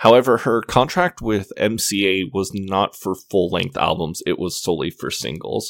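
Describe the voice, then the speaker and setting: On a very clean recording with a silent background, a man speaks fairly slowly in a normal speaking voice, with hardly any pauses. His pitch is fairly low, with ordinary variation. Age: 30s. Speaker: podcast host. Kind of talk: solo podcast monologue. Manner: casual, with fillers.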